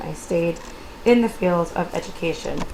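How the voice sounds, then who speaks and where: There is noticeable background noise behind this woman. Her voice sits at a fairly low pitch. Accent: American. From New York, Long Island. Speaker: educator, instructor. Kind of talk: recorded course introduction (screencast). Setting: screencast recording.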